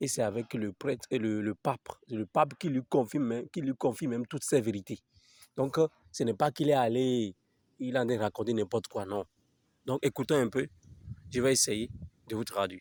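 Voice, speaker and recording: Recorded very cleanly against a silent background, with a dry, close sound and no echo, a man speaks at a moderate pace with long, frequent pauses. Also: medium pitch for a man, ordinary pitch variation. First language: Fon (speaking French). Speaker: religious video commentator. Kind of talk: casual video commentary.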